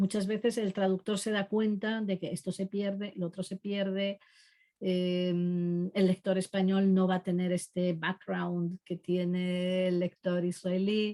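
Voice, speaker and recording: Heard in a dry, close sound with no echo, a woman at a medium pitch speaks with a dark, mellow tone and monotone, flat intonation. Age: 60s. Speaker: literary translator. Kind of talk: online talk. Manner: hesitant, many fillers.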